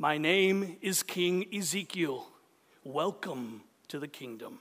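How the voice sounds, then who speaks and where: A man does a put-on character voice at a high pitch, speaking at a fairly slow pace. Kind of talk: theatrical, Shakespearean actor-like.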